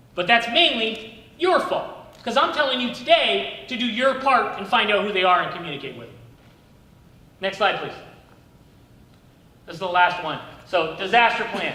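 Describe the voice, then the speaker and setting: A man projects his raised, high-pitched voice with very wide pitch swings and long, frequent pauses. The room's echo is audible. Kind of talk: training presentation. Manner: loud; fast.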